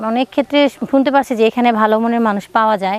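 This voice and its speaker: A woman's plain, everyday voice, fairly high in pitch. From Bangladesh, Dinajpur. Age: 30s. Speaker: divorcee seeking marriage. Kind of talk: interview.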